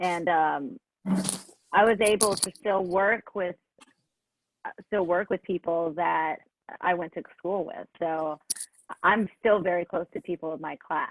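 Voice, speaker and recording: A woman with a fairly low pitch speaks at a fairly slow pace, with ordinary pitch variation, long and frequent pauses, and a dry, close sound free of echo. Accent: American. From Los Angeles. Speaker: singer-songwriter. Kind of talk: interview answer.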